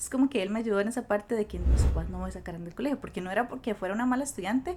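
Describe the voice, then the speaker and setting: Speaking very fast, a woman uses a fairly high pitch with ordinary variation. Noticeable background noise can be heard. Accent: Costa Rican. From Costa Rica, Cachí (rural). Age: 20s. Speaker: school guidance counselor. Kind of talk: podcast interview, personal story.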